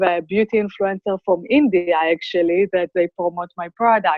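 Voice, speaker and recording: With an Israeli accent, a woman speaks at a moderate pace, her medium-pitched voice keeping a fairly even intonation. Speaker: cosmetics brand founder. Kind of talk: interview.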